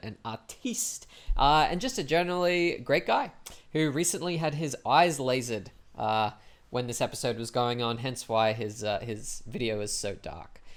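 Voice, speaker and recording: Here is a man with a plain, everyday voice and medium pitch. He talks at a moderate pace with lively intonation. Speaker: podcast host, interviewer. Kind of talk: podcast intro.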